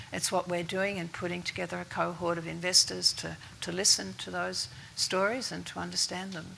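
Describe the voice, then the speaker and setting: A soft-spoken woman with an Australian accent at a moderate pace, amid noticeable background noise. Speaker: investor network chair. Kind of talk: panel discussion.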